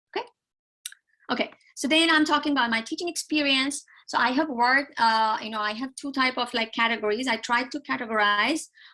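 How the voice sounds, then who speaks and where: At a fairly quick pace, a woman projects a raised voice with a bright, sharp tone, high pitch and ordinary pitch variation. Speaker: economics PhD graduate and university instructor. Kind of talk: tutorial. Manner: fast.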